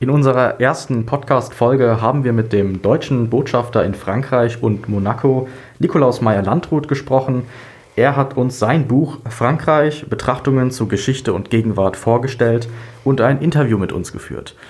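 Speaking at a moderate pace, a man uses a plain, everyday voice at a medium pitch with ordinary pitch variation. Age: 20s. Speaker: podcast host, medical student. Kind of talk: scripted intro.

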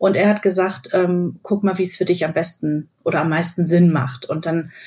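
Somewhat breathy, a woman speaks at a medium pitch and a moderate pace. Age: 40s. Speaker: radio host. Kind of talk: casual chat.

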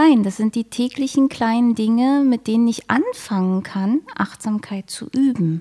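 Speaking fairly slowly with hardly any pauses, a woman uses a fairly high pitch and ordinary pitch variation. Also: very clean recording, silent background. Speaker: mindfulness coach and yoga teacher. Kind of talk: interview. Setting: studio. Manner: pleasant.

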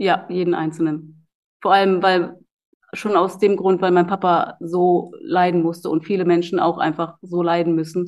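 A woman speaks at a moderate pace in a fairly low pitch, with monotone, flat intonation. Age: 30s. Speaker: professional soldier and personal trainer. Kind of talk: interview testimony.

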